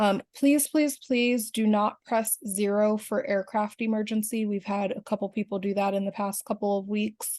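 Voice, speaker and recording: A woman with an unremarkable speaking voice talks at a moderate pace with hardly any pauses, a fairly high pitch and fairly even intonation, in a dry, close sound with no echo against a quiet background. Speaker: union officer. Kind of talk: video call presentation.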